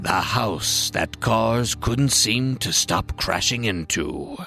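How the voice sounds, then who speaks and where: A put-on character voice is delivered at a very slow pace. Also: man, medium pitch for a man. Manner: dramatic, ominous.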